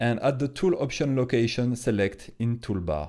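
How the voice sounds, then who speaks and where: A man with a French accent, medium in pitch and dark and mellow in tone, his intonation lively, in a very clean recording with a silent background. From France. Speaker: comic artist. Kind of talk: tutorial. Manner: hesitant.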